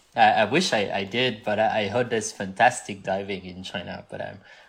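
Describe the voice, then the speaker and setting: A man in a French accent at a fairly quick pace, with ordinary pitch variation. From southwest France. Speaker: scuba diver. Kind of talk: casual chat.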